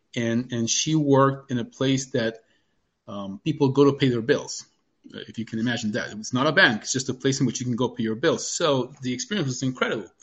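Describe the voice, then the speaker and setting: The speaker talks in a Spanish accent with ordinary pitch variation. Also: man, medium pitch for a man. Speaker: doctor sharing life experience. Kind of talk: interview.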